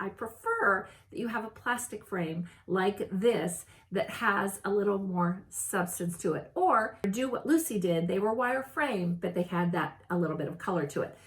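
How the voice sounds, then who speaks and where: A woman speaks at medium pitch and a moderate pace, with lively intonation. Noticeable background noise runs underneath. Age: 60s. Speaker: style consultant, video host. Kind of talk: casual tutorial. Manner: casual, with frequent fillers and restarts.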